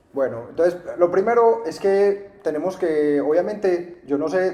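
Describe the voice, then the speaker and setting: A man with a paisa accent talks with lively intonation over noticeable background noise. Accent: paisa Colombian Spanish. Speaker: real estate investment teacher. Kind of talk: interview, explaining. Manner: hesitant, many fillers.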